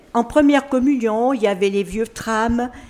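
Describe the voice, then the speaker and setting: With noticeable background noise behind her, a woman with a fairly high voice speaks at a fairly slow pace with lively intonation. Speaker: retirement home resident. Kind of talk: radio interview.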